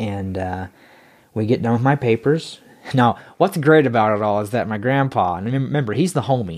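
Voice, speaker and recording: A man speaks at a moderate pace with lively intonation and an animated tone. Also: medium pitch for a man. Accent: American. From North Carolina, small town. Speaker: podcast guest, church convert. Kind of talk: personal testimony in interview.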